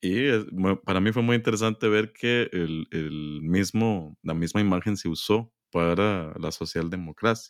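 A man with a Costa Rican accent speaks in a relaxed, calm tone at a fairly slow pace with hardly any pauses, his very deep, low pitch showing ordinary variation, in a very clean recording with a silent background and a dry, close sound with no echo. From Costa Rica, San José. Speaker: historian, professor. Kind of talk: interview.

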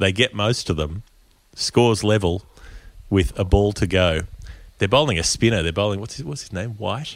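In an Australian accent, a man talks at a moderate pace with a fairly low pitch and ordinary pitch variation. His loudness swings a lot. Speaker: cricket podcast host. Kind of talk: casual chat. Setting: remote call.

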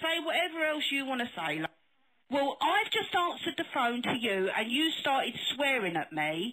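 Raising and projecting her high-pitched voice, a woman speaks at a moderate pace with very wide pitch swings and very even loudness over noticeable background noise. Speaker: funeral home staff. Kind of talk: heated phone argument. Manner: angry.

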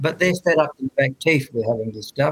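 A man talks with an Australian accent in a somewhat breathy voice. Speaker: author and commentator, retired army officer. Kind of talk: interview. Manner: halting, many fillers.

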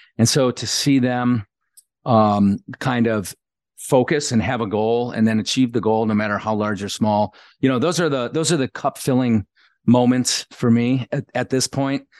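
This man has a plain, everyday voice, medium in pitch with ordinary pitch variation, at a moderate pace. The sound is dry and close with no echo, over a quiet background. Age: 50s. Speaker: leadership coach and retired navy diver. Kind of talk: interview.

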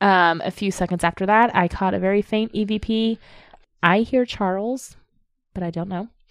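This is an unremarkable speaking voice: a woman at medium pitch, moderate pace and fairly even intonation. The recording is very clean with a silent background, and the sound is dry and close with no echo. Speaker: podcast co-host, amateur ghost investigator. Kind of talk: casual chat.

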